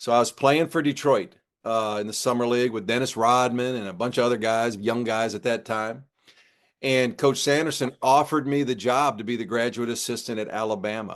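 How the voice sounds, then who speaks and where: A man talks at a medium pitch in an ordinary speaking voice. His pace is fairly quick and his intonation fairly even. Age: 60s. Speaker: former college basketball coach. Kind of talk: interview.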